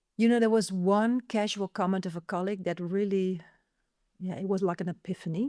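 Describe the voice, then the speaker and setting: A woman's dark, mellow voice, dry and close with no echo, on a very clean recording with a silent background. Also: medium pitch for a woman, fairly even intonation, fairly quick pace. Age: 50s. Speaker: neurodiversity speaker and author. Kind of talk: interview conversation.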